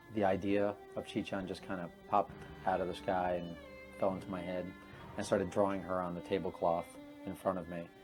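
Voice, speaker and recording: The speech moves at a fairly quick pace in a monotone, flat intonation, broken by long, frequent pauses, with music playing in the background. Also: man, very deep, low pitch for a man. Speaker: creator of the comic and animated series, director. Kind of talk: interview answer.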